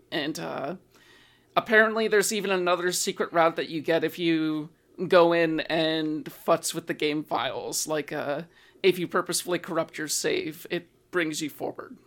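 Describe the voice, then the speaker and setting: A woman has a plain, everyday voice, fairly low in pitch with fairly even intonation. She speaks at a moderate pace on a very clean recording with a silent background. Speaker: podcast host. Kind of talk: casual chat.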